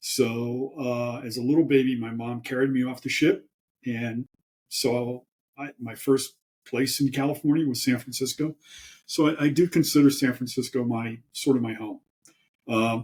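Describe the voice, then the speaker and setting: A man with an American accent speaks at a moderate pace and medium pitch, somewhat breathy. His intonation is fairly even, but his loudness swings widely. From US East Coast. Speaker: professor. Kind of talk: interview.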